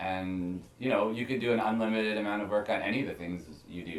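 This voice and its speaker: A man's voice comes with audible room echo. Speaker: musician. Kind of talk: casual interview. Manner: fast talker; doesn't enunciate much.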